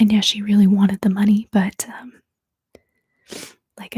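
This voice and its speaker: At a moderate pace, the speaker talks with an American accent. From US Northeast. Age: 30s. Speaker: ASMR creator. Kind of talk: livestream book discussion. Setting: livestream. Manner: casual, hesitant with fillers.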